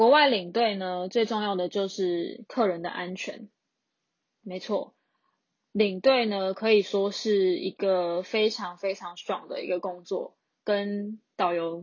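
Speaking at a very slow pace, a woman uses a medium pitch. She has a Taiwanese accent. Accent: Taiwanese Mandarin. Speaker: podcast host, tour leader. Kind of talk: casual solo monologue. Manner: flat, monotone.

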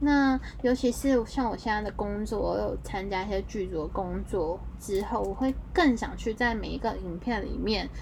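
A moderate pace with audible echo from the room. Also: woman, hardly any pauses. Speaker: podcast host. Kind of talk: casual monologue.

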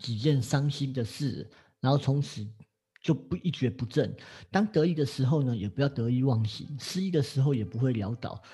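Against a quiet background, a man with a medium pitch and a dark, mellow tone speaks at a moderate pace, somewhat breathy, with lively intonation. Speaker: astrology teacher. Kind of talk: casual chat.

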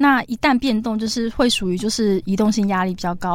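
A woman has an unremarkable speaking voice at a medium pitch, moving at a fairly quick pace with ordinary pitch variation. The recording is very clean, with a silent background. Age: 30s. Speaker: cancer survivor and author. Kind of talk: interview.

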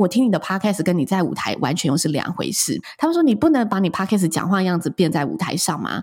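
Very fast and with hardly any pauses, a woman speaks in a somewhat breathy voice with very wide pitch swings. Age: 30s. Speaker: wedding and event host, podcaster. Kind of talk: interview.

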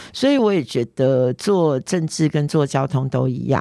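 In a very clean recording with a silent background, a woman with a very deep, low pitch speaks with lively intonation. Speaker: politician. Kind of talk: interview.

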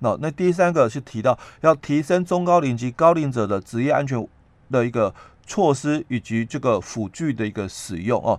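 Against a quiet background, a man speaks at a moderate pace in an ordinary speaking voice with lively intonation. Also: medium pitch for a man. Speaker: labor relations expert. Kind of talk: explanatory talk on labor law. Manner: many filler particles.

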